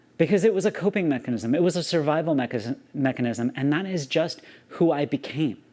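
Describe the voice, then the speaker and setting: A man with an American accent, a fairly high pitch, very wide pitch swings and an animated tone. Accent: slight Southern accent, largely masked. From US South. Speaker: YouTuber. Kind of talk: personal vlog monologue. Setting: alone talking to camera.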